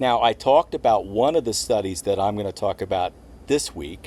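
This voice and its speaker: Lively intonation at a moderate speed in an ordinary speaking voice. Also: man. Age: 60s. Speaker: retiree vlogger. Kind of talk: scripted talk to camera.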